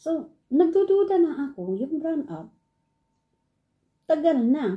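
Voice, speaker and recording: A woman talks in a somewhat breathy voice with a dark, mellow tone. Her pitch swings very widely. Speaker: online English teacher and vlogger. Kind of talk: casual vlog.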